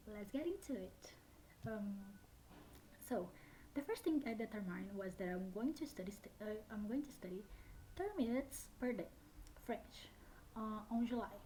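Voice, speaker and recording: A woman speaks at a moderate pace in a fairly high pitch with a dark, mellow, somewhat breathy tone, lively intonation and long, frequent pauses. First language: Brazilian Portuguese. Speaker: language learner vlogger. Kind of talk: casual vlog talk. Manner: hesitant, many fillers.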